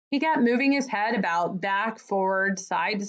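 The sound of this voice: The pitch varies in an ordinary way through this unforced reading voice.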